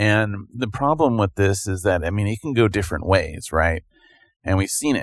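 A man with a plain, everyday voice talks at a moderate pace with a fairly low pitch and lively intonation. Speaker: podcast co-host. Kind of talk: casual chat.

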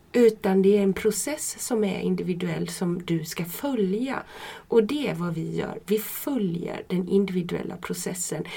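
Against noticeable background noise, a woman talks at a fairly slow pace with a medium pitch and ordinary pitch variation. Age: 50s. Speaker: midwife. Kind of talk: casual interview. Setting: studio, shared microphone.

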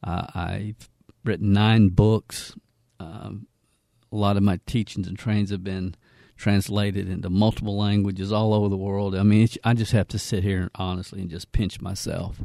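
On a very clean recording with a silent background, a man with a Southern US accent speaks in a flat monotone at a fairly low pitch, his tone dark and mellow, his loudness swinging widely, in a dry, close sound with no echo. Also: moderate pace. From Kentucky, US South. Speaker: network marketing trainer. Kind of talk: educational podcast intro, sales-style pitch.

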